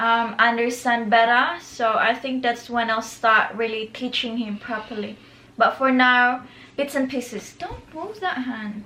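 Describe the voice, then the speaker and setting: A woman's high-pitched voice at a fairly slow pace, with fairly even intonation. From Philippines, Bisaya-speaking region. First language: Bisaya (Cebuano). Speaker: vlogger. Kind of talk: casual Q&A chat.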